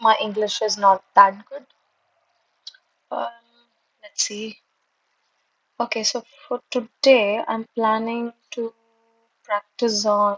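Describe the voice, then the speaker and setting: A woman's fairly high, monotone voice at a very slow pace, with long, frequent pauses, big swings in loudness, and a dry, close sound with no echo. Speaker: exam candidate vlogger. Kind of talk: study vlog. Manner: halting, hesitant.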